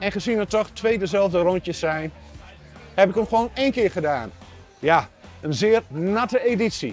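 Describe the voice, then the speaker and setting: Faint music plays in the background as a man speaks with a high pitch, the sound dry with no echo. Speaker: amateur runner vlogger. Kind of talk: casual vlog chat. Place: tent.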